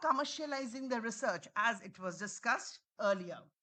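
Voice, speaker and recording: Her voice raised and projected, a woman speaks with lively intonation and a bright, sharp tone. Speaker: conference speaker. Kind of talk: presentation.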